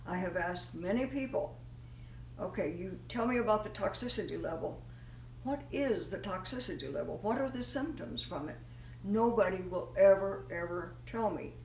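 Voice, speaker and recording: A woman talks at a moderate pace in a room with audible echo. Noticeable background noise sits behind her voice. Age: 80s+. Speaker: nutrition advocate. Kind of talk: informal health talk.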